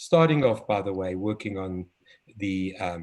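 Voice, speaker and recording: The speaker has a South African accent. The pace is moderate. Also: man. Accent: South African, noticeable. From South Africa, Cape Town. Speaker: developmental pediatrician and children's author. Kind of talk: interview conversation. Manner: hesitant, many fillers.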